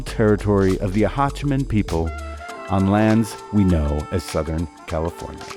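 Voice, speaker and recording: Moderately paced male speech over background music. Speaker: radio host. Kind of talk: radio show hosting.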